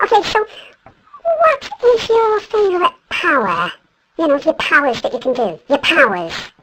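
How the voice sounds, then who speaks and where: Squeaky and pitched extremely high, a put-on character voice goes along at a moderate pace. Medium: comedy sketch. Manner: brisk, deadpan.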